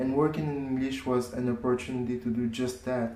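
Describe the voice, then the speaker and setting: A man with a French accent speaks at medium pitch and a moderate pace, with ordinary pitch variation. Noticeable background noise and audible room echo are present. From France. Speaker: cooking channel creator. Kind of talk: casual self-introduction to camera. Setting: filmed to camera.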